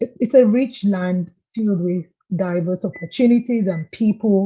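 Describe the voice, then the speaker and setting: At a fairly slow pace, a woman speaks with a medium pitch, a somewhat breathy, dark, mellow tone and ordinary pitch variation. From Nigeria, Lagos. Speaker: client giving testimonial. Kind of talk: interview. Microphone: too quiet at first.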